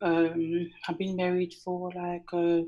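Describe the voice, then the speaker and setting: Against a quiet background, a woman with a strong non-native accent speaks in a fairly low pitch. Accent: thick foreign. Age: 40s. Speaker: caller. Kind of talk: advice call-in. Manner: halting, many fillers.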